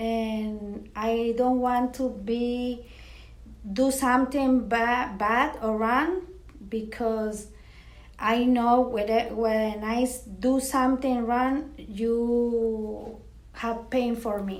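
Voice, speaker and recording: In a room with audible echo, a woman with a fairly high pitch speaks very slowly, with fairly even intonation and long, frequent pauses. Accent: Spanish. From Mexico, Matamoros. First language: Spanish. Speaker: parish coworker and interviewee. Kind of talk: interview. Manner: halting.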